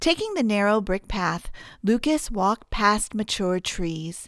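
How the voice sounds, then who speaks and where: Fairly slow speech from a woman in an ordinary speaking voice, medium in pitch, on a very clean recording with a silent background. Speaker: audiobook narrator. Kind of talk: audiobook narration, romance novel.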